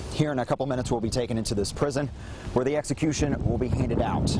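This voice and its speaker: Energetic and very fast, a man talks at medium pitch with very even loudness. Noticeable background noise can be heard. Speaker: TV news reporter and anchor. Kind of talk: TV news reporting. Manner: energetic, conversational broadcast delivery.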